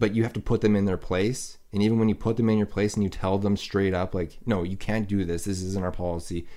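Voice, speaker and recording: Over a silent background in a very clean recording, a man with a Canadian accent talks very fast in a dark, mellow, fairly low voice with monotone, flat intonation. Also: hardly any pauses. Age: 30s. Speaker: podcast host. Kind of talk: casual chat.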